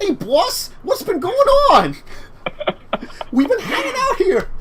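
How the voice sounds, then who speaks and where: Over clear background noise, a put-on character voice in a Brooklyn accent speaks at a fairly slow pace, extremely high in pitch with very wide pitch swings. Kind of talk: casual.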